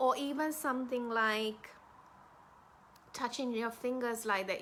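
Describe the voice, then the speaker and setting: Speaking at a fairly slow pace, the woman has a fairly high pitch, fairly even intonation, a calm tone and a bright, sharp tone. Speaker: love and dating coach. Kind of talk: casual live video talk. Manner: slowed, calm pace.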